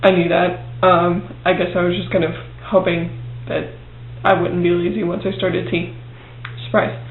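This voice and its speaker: A man at a moderate pace with long, frequent pauses, audible room echo and noticeable background noise. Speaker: video blogger. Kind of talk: video diary. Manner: hesitant, many fillers; quiet.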